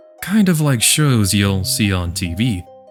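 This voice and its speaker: Over music in the background, a man's voice swings very widely in pitch. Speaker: voice actor. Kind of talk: casual talk to camera. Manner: casual, friendly.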